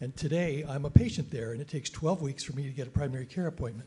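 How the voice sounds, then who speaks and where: A very fast pace over music in the background. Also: man. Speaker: retired family doctor, audience member. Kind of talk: audience comment at panel. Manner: loud.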